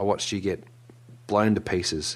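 A fairly quick pace with an Australian accent in a very clean recording, silent background. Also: man. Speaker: podcast co-host. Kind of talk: casual chat. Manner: excitable.

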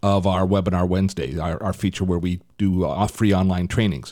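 A man with a very deep, low pitch is captured on a very clean recording against a silent background. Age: 60s. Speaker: podcast host and tech reviewer. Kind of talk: casual tech podcast chat.

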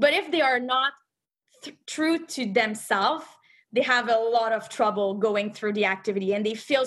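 A woman with a French accent, fairly high in pitch and lively in intonation, on a very clean recording with a silent background. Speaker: movement coach. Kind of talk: podcast panel discussion. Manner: hesitant, self-correcting.

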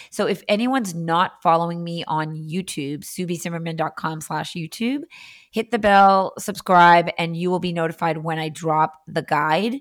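With an American accent, a woman talks at a moderate pace in a fairly low voice with ordinary pitch variation, recorded very cleanly against a silent background. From Massachusetts (Andover), US. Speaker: Instagram marketing coach. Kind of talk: casual interview chat.

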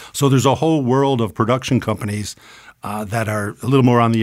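A man talks in an ordinary speaking voice at a medium pitch, with ordinary pitch variation. The recording is very clean, with a silent background. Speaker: voiceover studio owner. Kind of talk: interview conversation.

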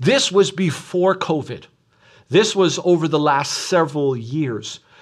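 Lively intonation marks this man's fairly high-pitched, normal speaking voice. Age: 40s. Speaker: pastor. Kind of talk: sermon. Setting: recorded online church service.

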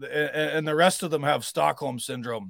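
An ordinary speaking voice with a Canadian accent and ordinary pitch variation comes through a very clean recording with a silent background and a dry, close sound with no echo. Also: man. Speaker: truck driver and writer. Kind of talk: casual interview conversation.

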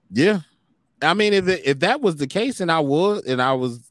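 On a very clean recording with a silent background, a man with an American accent talks at a fairly quick pace, his pitch swinging very widely. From United States. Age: 30s. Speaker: podcast host. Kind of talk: casual chat.

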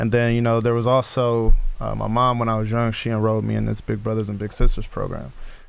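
Over noticeable background noise and audible room echo, a man with an American accent speaks at a very fast pace. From Sacramento, California. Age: young. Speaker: rapper. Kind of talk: interview.

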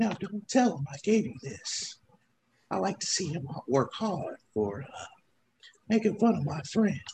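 A put-on character voice at middle pitch moves at a moderate pace, broken by long, frequent pauses. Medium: actual play. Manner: folksy, polite.

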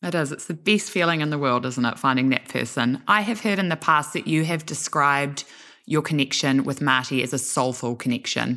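A woman with a New Zealand accent, very deep and low in pitch, bright and sharp in tone, at a fairly quick pace on a very clean recording with a silent background. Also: ordinary pitch variation. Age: 20s. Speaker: podcast host. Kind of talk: interview.

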